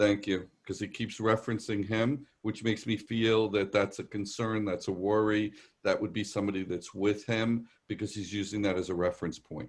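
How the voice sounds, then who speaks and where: With a New York accent, a man speaks at a moderate pace and fairly low pitch, hardly pausing, against a quiet background. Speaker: psychic medium. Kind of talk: live psychic reading. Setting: video call. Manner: conversational, hesitant fillers.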